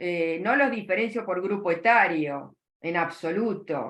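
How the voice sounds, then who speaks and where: Someone speaks in a Rioplatense accent with music playing in the background. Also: woman. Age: 60s. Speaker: psychoanalyst. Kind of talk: interview.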